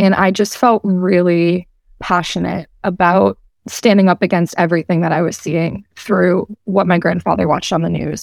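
A woman with an American accent speaks at a moderate pace, with a fairly low pitch and vocal fry. Her intonation stays fairly even, and the sound is dry and close with no echo. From Massachusetts, Boston area (Medford). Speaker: student activist. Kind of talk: interview.

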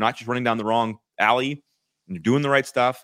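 At a fairly quick pace, a man talks in a normal speaking voice at a medium pitch, with a dry, close sound and no echo on a very clean recording with a silent background. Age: 40s. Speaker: marketing executive. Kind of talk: casual chat.

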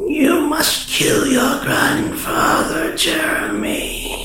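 A put-on character voice at a very slow pace with slight echo. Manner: sinister.

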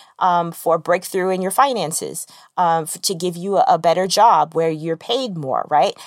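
Captured in a very clean recording with a silent background, a woman uses a normal speaking voice at a medium pitch with ordinary pitch variation. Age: 30s. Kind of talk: faith-based devotional monologue. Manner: conversational with frequent fillers.

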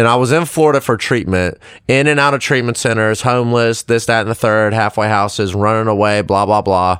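Here is an ordinary speaking voice: a man with an American accent, medium pitch, and lively intonation. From South Carolina, Lexington. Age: 20s. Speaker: recovery coordinator. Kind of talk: casual chat.

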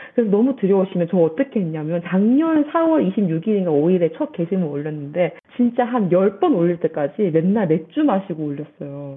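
An animated tone with very wide pitch swings, a moderate pace and hardly any pauses. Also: woman, medium pitch for a woman. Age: young. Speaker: science educator. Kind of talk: interview.

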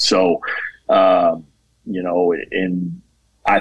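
He is a man with a fairly low pitch and an American accent. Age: 30s. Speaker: junior college baseball head coach. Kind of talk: casual interview.

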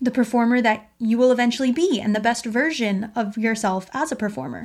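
In a very clean recording with a silent background, a woman with a high pitch speaks in an animated tone at a moderate pace, using ordinary pitch variation. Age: 20s. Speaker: podcast host, musical theatre performer. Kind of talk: solo podcast monologue.

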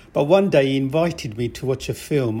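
A man's voice has a dark, mellow tone and is somewhat breathy. The recording is very clean, with a silent background. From England, raised from early childhood after moving from Pakistan. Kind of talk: interview testimony.

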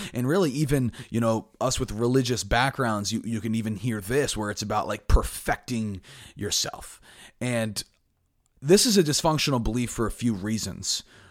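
With a normal speaking voice, a man talks at a moderate pace and medium pitch, showing ordinary pitch variation in a very clean recording with a silent background. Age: 20s. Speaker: podcast host. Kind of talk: solo motivational talk.

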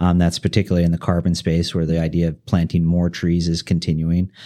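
A man with an American accent speaks at a fairly quick pace in a very deep, low voice with a dark, mellow tone. The recording is very clean, with a silent background. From central US. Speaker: forestry company chief executive. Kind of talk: interview. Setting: studio.

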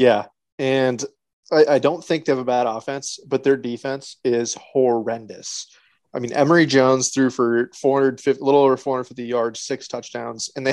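With an American accent, a man speaks fairly slowly in a normal speaking voice at medium pitch with fairly even intonation. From Nebraska. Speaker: podcast co-host, sports fan. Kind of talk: casual chat.

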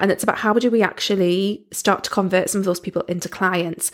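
A woman speaks with a Geordie accent. Her pace is fairly quick. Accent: Geordie (Newcastle English). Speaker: podcast host, business coach. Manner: conversational, explanatory.

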